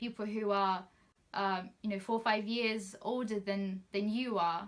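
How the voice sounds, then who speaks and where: Speaking fairly slowly with a non-native accent, a woman keeps a medium pitch and fairly even intonation. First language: not English. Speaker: trainee solicitor. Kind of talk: personal advice talk.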